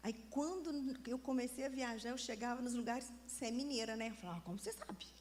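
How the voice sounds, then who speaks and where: The animated voice, in a Minas Gerais accent, runs at a very fast pace with ordinary pitch variation. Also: woman, high pitch for a woman. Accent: Minas Gerais (mineiro) Brazilian Portuguese. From Brazil, Minas Gerais. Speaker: preacher. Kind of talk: sermon.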